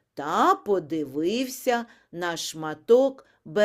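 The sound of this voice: Intonation runs lively in this unforced reading voice.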